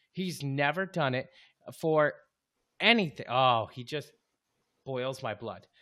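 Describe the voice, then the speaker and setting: In a very clean recording with a silent background, a man with a bright, sharp tone and fairly high pitch speaks at a very slow pace, with ordinary pitch variation, big swings in loudness and long, frequent pauses. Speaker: sports podcast host. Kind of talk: angry rant about a hated player and team, cursing; casual banter, fantasy football chat. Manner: loud, fired up, profane, riled up.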